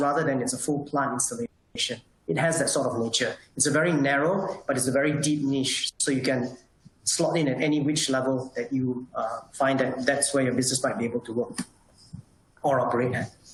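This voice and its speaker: With ordinary pitch variation and a fairly high pitch, a man talks at a fairly quick pace against noticeable background noise. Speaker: solar industry association representative. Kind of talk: webinar presentation. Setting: online webinar. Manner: fast.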